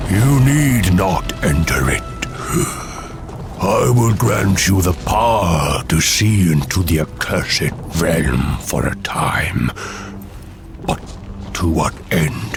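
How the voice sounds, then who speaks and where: A man uses a put-on character voice at a very deep, low pitch. He speaks at a very slow pace over clear background noise. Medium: short film. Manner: grave, weary.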